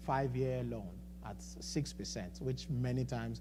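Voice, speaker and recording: A man speaks at a moderate pace. Room echo is audible throughout. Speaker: financial coach speaking at a church. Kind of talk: seminar talk. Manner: halting, with many repetitions and fillers.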